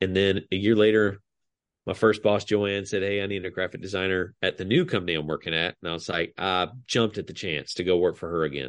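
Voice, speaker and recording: Very deep, low-pitched male voice at a fairly quick pace with fairly even intonation. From US South, DeKalb County, Georgia. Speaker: graphic designer. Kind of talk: casual chat.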